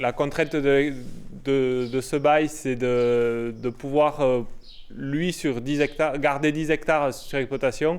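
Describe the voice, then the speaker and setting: A man at medium pitch, fairly even intonation, very slow pace. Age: young. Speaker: young farmer. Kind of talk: interview testimony.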